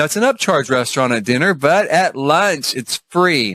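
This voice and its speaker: Animated man's voice with a Southern US accent, fairly high in pitch, lively in intonation and moderate in pace, on a very clean, dry, close recording with a silent background and no echo. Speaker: cruise vlogger. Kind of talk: casual vlog review.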